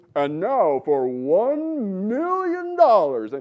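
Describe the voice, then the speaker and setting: Someone speaks loudly in a put-on character voice at a very slow pace. The pitch sits fairly high. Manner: loud, dramatic, building excitement.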